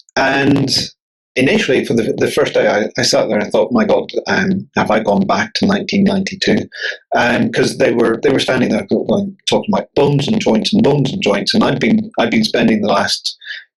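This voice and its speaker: In a Northern Irish accent, a man speaks at a moderate pace with very even loudness. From Northern Ireland, near Belfast. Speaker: bodyworker and author. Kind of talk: podcast interview. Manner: halting, many repetitions.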